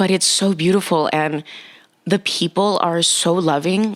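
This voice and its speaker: A woman with a plain, everyday voice talks at a fairly low pitch with fairly even intonation. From Nicaragua, moved to US at six. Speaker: dating and relationship coach. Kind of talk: casual interview chat.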